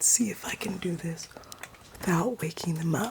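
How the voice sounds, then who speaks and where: Noticeable background noise behind a woman's fairly low voice, delivered at a fairly slow pace. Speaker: writing vlogger. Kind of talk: casual write-along vlog. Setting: home, early morning. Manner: soft-spoken.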